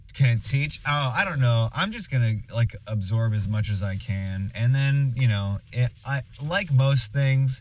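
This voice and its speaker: A man at medium pitch speaks at a fairly slow pace, with hardly any pauses. His voice is somewhat breathy, with ordinary pitch variation. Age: 20s. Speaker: improv performer. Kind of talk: casual chat. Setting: recording in a truck.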